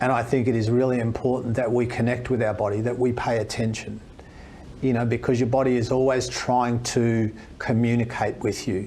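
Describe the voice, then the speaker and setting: A man with an Australian accent at a fairly quick pace, medium pitch, monotone, flat intonation and very even loudness, with audible room echo. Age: 60s. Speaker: fitness expert and speaker. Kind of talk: podcast interview.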